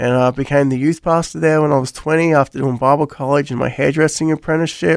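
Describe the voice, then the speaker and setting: A man speaks with an Australian accent at a fairly high pitch. His pace is fairly quick, and the sound is dry and close with no echo. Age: 40s. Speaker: pastor. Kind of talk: radio interview.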